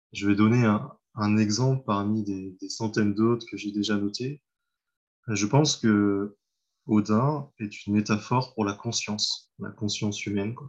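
Against a quiet background, a man speaks at a fairly slow pace. His pitch is fairly low. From France, Mayenne. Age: 30s. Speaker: translator. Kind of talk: casual interview. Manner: halting.

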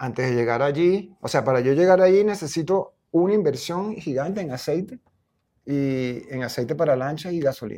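A man's dark, mellow tone at a fairly high pitch, lively intonation and a moderate pace against a quiet background. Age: 60s. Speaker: visual artist and anthropologist. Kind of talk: interview. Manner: halting.

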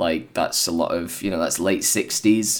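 A man's very deep, low voice with vocal fry, at a moderate pace. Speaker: podcast host. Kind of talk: casual chat.

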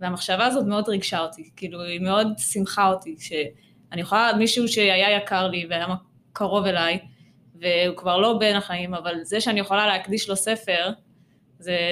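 Here a woman speaks in a normal speaking voice at a medium pitch. Her pace is moderate and her intonation fairly even. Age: 20s. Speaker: children's book author. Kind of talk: interview. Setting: studio.

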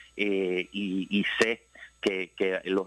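A man's fairly low voice comes through with monotone, flat intonation. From Puerto Rico, Ponce. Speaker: infectious disease doctor. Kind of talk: radio interview. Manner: halting, many fillers and repetitions.

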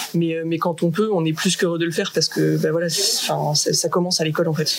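Noticeable background noise sits behind a woman speaking at a fairly quick pace in a fairly low pitch. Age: 30s. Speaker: adventurer and association co-founder. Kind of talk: casual interview. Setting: radio studio.

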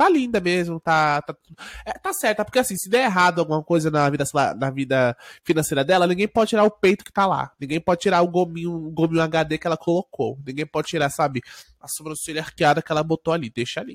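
Talking at a very fast pace, a man with a high pitch has an animated tone and ordinary pitch variation. The recording is very clean with a silent background and a dry, close sound with no echo. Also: big swings in loudness. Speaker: podcast host. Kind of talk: casual chat. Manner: fast, animated.

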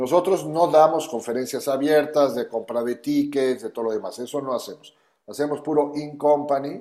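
A man speaks at a moderate pace with a fairly high pitch and ordinary pitch variation. His tone is dark and mellow. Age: 60s. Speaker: business founder. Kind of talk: interview.

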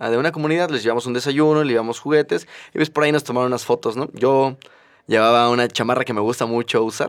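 A man speaks very fast at a medium pitch, keeping his intonation fairly even. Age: 20s. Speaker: podcast co-host, architect. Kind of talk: casual chat. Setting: studio.

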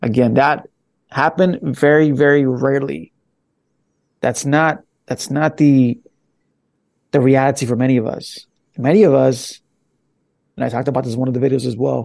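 This man has a medium pitch and an American accent, with ordinary pitch variation. He keeps a moderate pace broken by long, frequent pauses. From Los Angeles, California. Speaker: podcaster. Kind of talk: casual chat.

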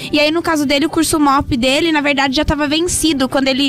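At a very fast pace, a woman speaks in a high pitch amid noticeable background noise. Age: 20s. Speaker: co-host of a trucking and logistics web show. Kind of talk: casual chat.

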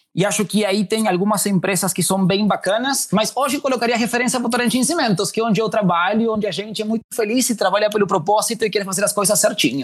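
Pitched high, a man speaks with pitch that moves in an ordinary way. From Uruguay. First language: Spanish (speaking Portuguese). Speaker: diversity and inclusion manager. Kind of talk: interview. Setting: remote call.

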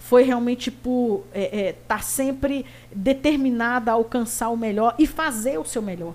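A woman speaks at a fairly slow pace in a high voice. Her pitch varies in an ordinary way. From Brasília, Brazil. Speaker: retired police colonel. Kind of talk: interview. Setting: studio.

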